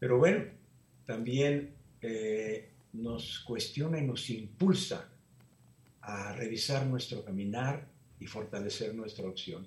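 The voice is somewhat breathy, moving at a very slow pace with long, frequent pauses and ordinary pitch variation. Loudness swings widely, and the room echo is audible. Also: man, medium pitch for a man. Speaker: Jesuit priest. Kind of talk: interview.

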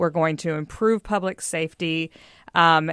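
A woman with an American accent and a plain, everyday voice speaks at a moderate pace with ordinary pitch variation, in a dry, close sound with no echo and a quiet background. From US South (Texas, earlier Mississippi). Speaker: news site co-founder and publisher, political journalist. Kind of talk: radio panel discussion.

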